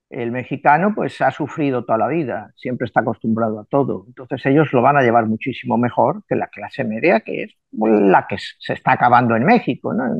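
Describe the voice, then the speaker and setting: Using a plain, everyday voice, a man speaks at a fairly quick pace in a medium pitch with ordinary pitch variation and hardly any pauses. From Spain. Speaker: numerologist. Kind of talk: interview. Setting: video call.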